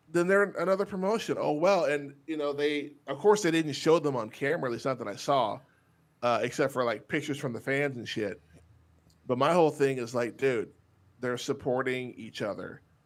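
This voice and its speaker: Speaking at a fairly quick clip, a man with a Texas accent uses a fairly high voice, lively intonation and an animated tone on a very clean recording with a silent background. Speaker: podcast host. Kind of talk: casual chat.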